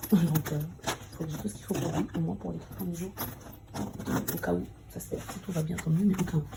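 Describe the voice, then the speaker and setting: A woman speaks at a moderate pace, her loudness rising and falling in big swings. She leaves long, frequent pauses, and there is noticeable background noise. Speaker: vlogger, mother. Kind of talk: vlog narration.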